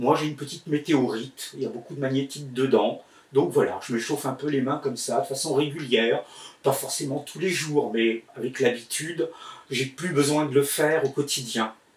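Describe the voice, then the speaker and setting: A man at a fairly high pitch, at a moderate pace. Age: 60s. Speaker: healer and magnetizer teaching online. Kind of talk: tutorial. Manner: hesitant, many filler words.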